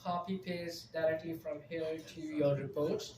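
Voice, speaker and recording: Moderate-paced speech with a non-native accent, over noticeable background noise. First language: not English. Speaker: conference speaker on AI in project management. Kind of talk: live presentation with audience Q&A.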